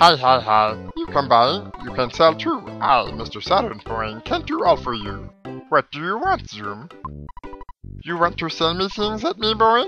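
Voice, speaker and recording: Using a put-on character voice, a man talks at a moderate pace and a fairly high pitch, with big swings in loudness and faint music in the background. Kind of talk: broken, stilted English. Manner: playful, salesy, over the top.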